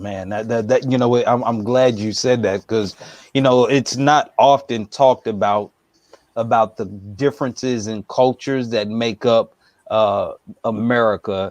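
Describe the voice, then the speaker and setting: A man at medium pitch has a plain, everyday voice, speaking at a moderate pace with fairly even intonation. The sound is dry and close, with no echo. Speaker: interviewer, channel host. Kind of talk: interview question.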